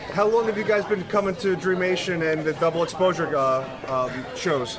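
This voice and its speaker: Pitched high with lively intonation, a man speaks at a moderate pace amid audible room echo and noticeable background noise. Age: 30s. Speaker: podcast host. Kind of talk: convention interview. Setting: game convention floor.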